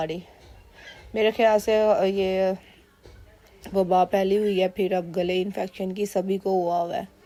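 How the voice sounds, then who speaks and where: A woman with a medium pitch speaks in a monotone, flat intonation at a fairly slow pace. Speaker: cooking vlogger, mother. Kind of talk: voice-over cooking vlog. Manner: casual conversational, with fillers.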